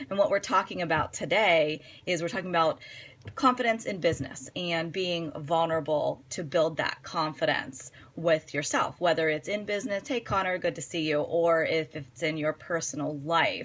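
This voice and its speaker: Fairly low for a woman, a normal speaking voice with ordinary pitch variation. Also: moderate pace. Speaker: psychotherapist and coach. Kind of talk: live-stream talk. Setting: live video stream.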